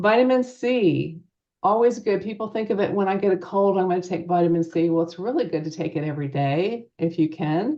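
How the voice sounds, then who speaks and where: Using a normal speaking voice, a woman talks at a fairly quick pace and a medium pitch with lively intonation. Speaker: nurse practitioner. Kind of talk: presentation.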